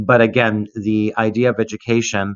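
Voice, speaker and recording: With a Canadian accent, a man speaks at a moderate pace, his fairly low pitch held in monotone, flat intonation. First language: Greek. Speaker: language educator, association director. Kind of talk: conference presentation. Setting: online conference. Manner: halting, many fillers.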